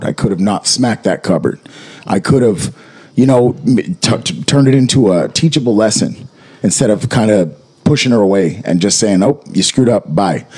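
A man's fairly low voice at a moderate pace, lively in intonation and very even in loudness, over noticeable background noise. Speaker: podcast co-host. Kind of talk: casual chat.

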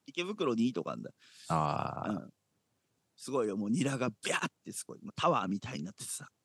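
A man's voice with vocal fry, very wide pitch swings and big swings in loudness, over a quiet background. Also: medium pitch for a man, fairly quick pace, dry, close sound with no echo. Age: 40s. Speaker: church podcast co-host. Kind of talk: casual chat. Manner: animated.

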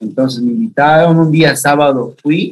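A man's ordinary speaking voice, pitched fairly high, moving at a moderate pace. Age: 30s. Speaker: youth pastor. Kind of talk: interview.

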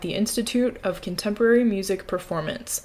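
Medium-pitched with ordinary pitch variation, a woman with an unremarkable speaking voice talks at a moderate pace. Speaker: podcast host. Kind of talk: casual interview.

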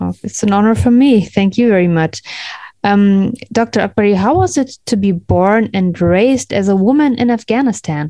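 With a German accent, a woman speaks at a medium pitch with ordinary pitch variation and a dark, mellow tone, in a dry, close sound with no echo. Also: moderate pace. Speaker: podcast host. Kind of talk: interview; scripted intro.

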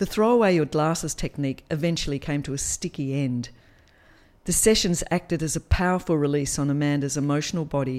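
On a very clean recording with a silent background, a woman with an Australian accent talks at a fairly quick pace with a very deep, low pitch and ordinary pitch variation. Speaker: podcast storyteller. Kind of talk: dramatic third-person narration, reading a written memoir. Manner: expressive, storytelling cadence with wry humour.

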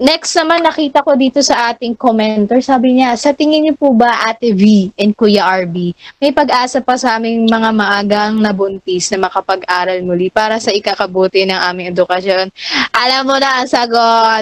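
A woman speaks in an ordinary speaking voice at a fairly high pitch, with ordinary pitch variation and a moderate pace. The sound is dry and close, with no echo. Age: young. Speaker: student podcast co-host. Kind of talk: casual chat. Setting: live stream.

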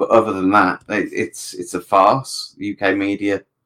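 A man is speaking. He has a British accent. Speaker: podcast panelist. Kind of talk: casual chat. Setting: video call.

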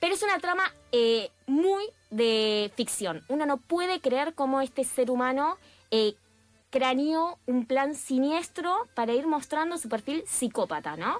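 A woman speaks at a fairly slow pace in a high pitch with very wide pitch swings. The recording is very clean with a silent background and a dry, close sound without echo. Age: 30s. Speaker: radio columnist. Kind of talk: radio segment. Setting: radio studio.

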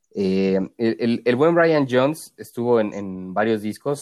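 A man talks at a medium pitch in a plain, everyday voice, with ordinary pitch variation. The recording is very clean, with a silent background. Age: 20s. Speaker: podcast co-host. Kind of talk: casual chat.

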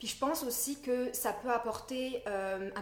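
A woman talks with ordinary pitch variation. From France. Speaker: naturopath. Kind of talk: podcast interview. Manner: hesitant, many fillers.

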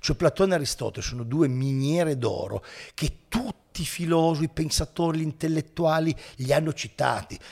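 On a very clean recording with a silent background, a man speaks at a fairly quick pace. He has a plain, everyday voice with fairly high pitch. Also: ordinary pitch variation. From Italy, Turin. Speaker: philosophy teacher and YouTuber. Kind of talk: casual interview.

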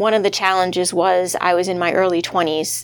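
With an American accent, a woman speaks at a fairly quick pace in a fairly low pitch and monotone, flat intonation. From Massachusetts. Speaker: human resources executive. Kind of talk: interview.

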